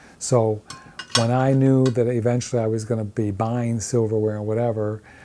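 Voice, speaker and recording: A man speaks at a medium pitch and a moderate pace with fairly even intonation. Noticeable background noise runs behind him. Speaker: dumpster-dive artist. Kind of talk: interview testimony. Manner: halting.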